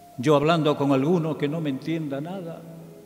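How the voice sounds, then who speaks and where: Against faint music in the background, a man speaks at a fairly high pitch and a fairly slow pace in a monotone, flat intonation. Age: old. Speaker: radio broadcaster; journalist. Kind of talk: poetry reading. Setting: theatre recital with choir accompaniment. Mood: tender, nostalgic. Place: stage. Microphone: podium.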